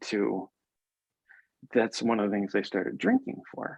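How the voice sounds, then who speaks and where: A man is talking here. His pace is fairly slow. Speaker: podcast host and mindset coach, former lawyer. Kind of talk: interview. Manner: loud.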